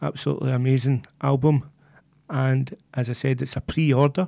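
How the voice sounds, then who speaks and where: A man with a Glaswegian accent, medium pitch, fairly even intonation and a moderate pace, on a very clean recording with a silent background. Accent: Glaswegian Scottish. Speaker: community radio DJ. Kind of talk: music radio presenting. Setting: radio studio.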